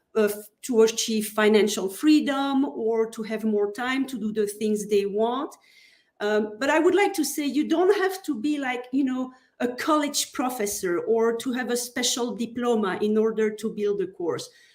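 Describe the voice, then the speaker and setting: At a moderate pace, a woman with a Belgian French accent speaks in a fairly high voice with lively intonation. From Belgium, French-speaking. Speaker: online course consultant. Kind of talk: interview podcast.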